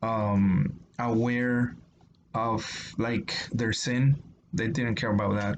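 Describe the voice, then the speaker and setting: This man speaks at a medium pitch with a Spanish accent. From Mexico. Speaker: YouTuber discussing religion. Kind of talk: casual explanatory monologue. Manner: halting, many fillers.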